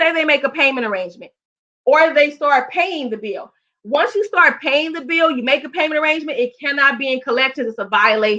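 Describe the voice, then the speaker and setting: Bright and sharp in tone, a woman projects her high, raised voice at a fairly quick pace with lively intonation. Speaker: credit repair educator. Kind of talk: presentation. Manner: fast.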